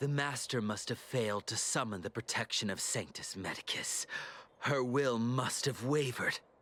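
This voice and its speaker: A put-on character voice at a moderate pace, pitched low-to-middle. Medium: video game. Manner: zealous, threatening.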